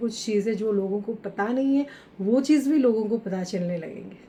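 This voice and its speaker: Her pitch varying in an ordinary way, a woman speaks moderately fast. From India, Odisha. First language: Odia (speaking Hindi). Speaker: author and entrepreneur. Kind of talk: podcast interview. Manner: halting, many fillers.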